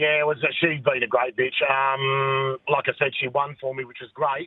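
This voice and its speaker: In an Australian accent, a man with a fairly high pitch speaks at a moderate pace in a monotone, flat way. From Western Australia, Perth. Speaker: greyhound owner and breeder. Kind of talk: casual interview.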